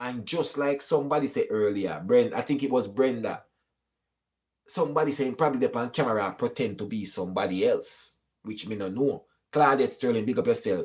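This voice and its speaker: In a very clean recording with a silent background, a man with a fairly high voice talks at a fairly quick pace in an animated tone with lively intonation. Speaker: YouTube commentator. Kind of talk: live stream chat reading comments.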